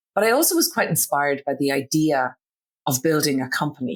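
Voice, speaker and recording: The speaker has an Irish accent and talks at a moderate pace. The recording is very clean, with a silent background. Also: woman. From Ireland. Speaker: business founder. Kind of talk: podcast interview.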